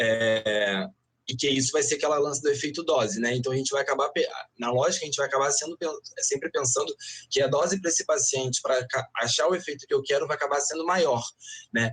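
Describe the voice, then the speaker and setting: The man speaks at a very fast pace. His pitch is fairly high with ordinary pitch variation. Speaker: veterinarian. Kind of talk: online panel talk with slide presentation. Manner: many fillers and self-corrections.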